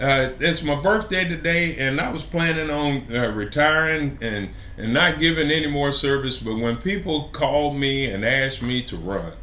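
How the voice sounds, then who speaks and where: The speech runs at a moderate pace with hardly any pauses, with audible room echo and noticeable background noise. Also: man, fairly high pitch for a man, ordinary pitch variation. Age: 60s. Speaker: city council candidate. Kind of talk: interview. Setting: live stream interview.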